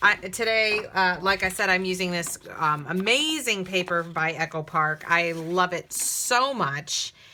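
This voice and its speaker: There is noticeable background noise as a woman talks at a fairly slow pace. Her pitch is fairly low, with ordinary pitch variation. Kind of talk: tutorial. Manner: casual, with many fillers; talking low.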